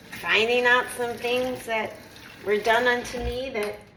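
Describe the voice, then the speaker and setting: Over noticeable background noise, a woman talks very slowly in a high pitch with monotone, flat intonation. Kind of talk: casual talk to camera.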